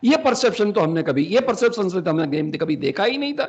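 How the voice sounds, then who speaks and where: A man's high-pitched voice. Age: 60s. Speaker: faculty development trainer. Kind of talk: lecture. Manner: halting, frequent self-corrections.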